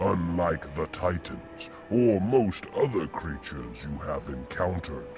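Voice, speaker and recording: Over clear music in the background, a man does a cartoonish character voice at a very deep, low pitch, going at a fairly slow pace with hardly any pauses. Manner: grave, poetic.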